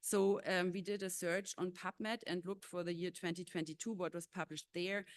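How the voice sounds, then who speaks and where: The delivery is fairly quick, with hardly any pauses. The intonation stays monotone and flat. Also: woman, medium pitch for a woman. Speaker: animal welfare researcher. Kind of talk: conference presentation. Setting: conference stage with audience. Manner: hesitant, many filler sounds.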